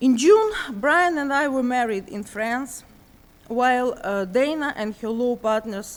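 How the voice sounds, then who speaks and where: A woman speaks at a fairly slow pace with a high pitch. Her intonation is lively. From Ukraine, Donetsk. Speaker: refugee and therapist. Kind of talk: prepared testimony. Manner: reading from script, halting.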